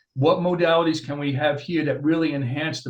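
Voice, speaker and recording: A somewhat breathy man talks at a fairly quick pace with fairly even intonation. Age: 60s. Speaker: chiropractor. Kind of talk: interview.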